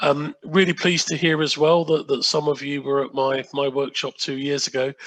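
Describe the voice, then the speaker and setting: With an English accent, a man talks at a moderate pace in a fairly high pitch with monotone, flat intonation. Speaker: sustainable procurement consultant and workshop trainer. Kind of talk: online workshop presentation. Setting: video call from home. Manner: halting, many fillers.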